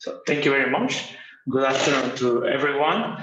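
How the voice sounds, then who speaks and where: A man speaks with a Mexican accent. The room echo is audible. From Mexico. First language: Spanish. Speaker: university professor. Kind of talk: conference presentation. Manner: halting.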